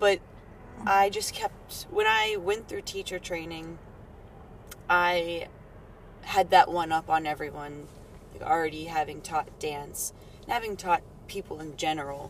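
A woman with a fairly low pitch speaks at a fairly slow pace, leaving long, frequent pauses, her loudness swinging widely amid noticeable background noise. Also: ordinary pitch variation. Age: 20s. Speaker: yoga teacher and dancer. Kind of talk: casual interview chat.

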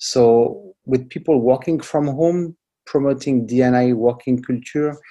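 With a dark, mellow tone at a medium pitch, the man talks at a fairly slow pace and with fairly even intonation. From France. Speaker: diversity advocate. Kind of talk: interview. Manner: halting, many fillers and repetitions.

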